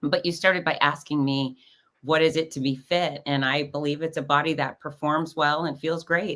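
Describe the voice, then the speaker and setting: Every word comes at a moderate pace in an American accent. The background is silent and the recording very clean. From South Florida. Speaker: fitness expert and cancer survivor. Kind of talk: podcast interview. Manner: animated.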